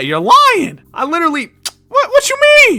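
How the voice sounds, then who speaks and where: The speaker's pace is moderate. The voice is a put-on character voice. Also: man, extremely high pitch for a man. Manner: indignant, defensive.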